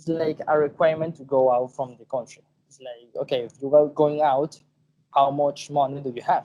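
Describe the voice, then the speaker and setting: A man's fairly high voice with a Venezuelan accent, dark and mellow in tone, at a moderate pace with monotone, flat intonation and big swings in loudness. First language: Spanish. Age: 20s. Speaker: podcast guest. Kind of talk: casual chat.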